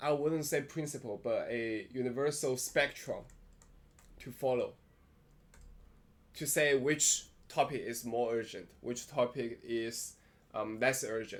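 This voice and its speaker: With a Chinese accent, a man speaks fairly slowly at a medium pitch, using fairly even intonation and long, frequent pauses in a room with audible echo. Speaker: philosophy video host. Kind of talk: monologue lecture. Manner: halting, many fillers and restarts.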